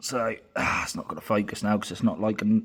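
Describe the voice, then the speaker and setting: A man speaks with a British accent. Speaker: car mechanic hobbyist. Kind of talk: tutorial. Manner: casual.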